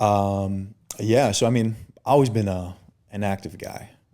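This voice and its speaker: In a very clean recording with a silent background, the voice has a dark, mellow tone and fairly even intonation. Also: man. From Chicago suburbs, US Midwest. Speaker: personal trainer. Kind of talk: podcast interview. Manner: stutters at times.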